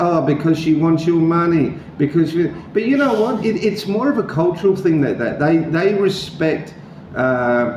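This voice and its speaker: A man with an Australian accent, fairly high in pitch, with lively intonation at a moderate pace, plus noticeable background noise and audible room echo. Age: 60s. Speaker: vlogger. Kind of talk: interview. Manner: halting.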